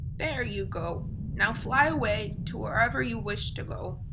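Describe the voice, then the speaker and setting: A put-on character voice moves at a moderate pace against loud background noise. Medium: read story. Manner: warm, gentle.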